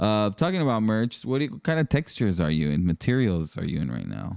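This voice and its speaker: Speech in an American accent moves at a fairly quick pace with very wide pitch swings. The recording is very clean, with a silent background. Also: man. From Mexican-US border town; family from Torreón, Coahuila. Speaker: podcast host and DJ. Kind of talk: casual chat.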